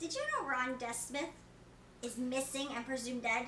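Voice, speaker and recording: A woman uses a put-on character voice at a high pitch and moderate pace. Background noise is clearly heard. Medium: role play.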